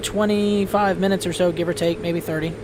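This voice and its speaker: Noticeable background noise runs behind the speech. A man talks at a very fast pace. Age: 40s. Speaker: flight sim streamer. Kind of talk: casual chat. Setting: live stream.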